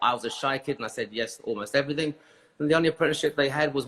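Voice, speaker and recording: A man with a British accent at a very fast pace, with ordinary pitch variation. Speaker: hairdressing educator. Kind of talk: interview. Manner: halting.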